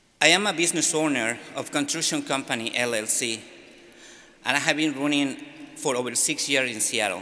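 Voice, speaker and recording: This man's fairly high voice has a bright, sharp tone and ordinary pitch variation, with audible room echo around it. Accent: non-native. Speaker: immigrant in church sanctuary, business owner. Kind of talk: press conference statement. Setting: press conference in a church. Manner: halting.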